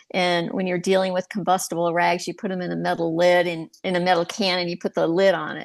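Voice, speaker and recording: Her fairly low voice runs at a fairly quick pace with hardly any pauses and monotone, flat intonation. The woman's sound is dry and close with no echo, against a quiet background. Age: 60s. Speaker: retiree, divorce podcast host. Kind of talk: interview podcast.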